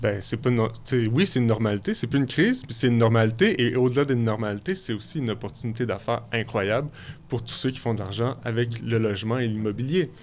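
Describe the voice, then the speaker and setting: A man speaks very fast. His pitch varies in an ordinary way. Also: medium pitch for a man. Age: 30s. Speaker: filmmaker. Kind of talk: radio interview. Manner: halting.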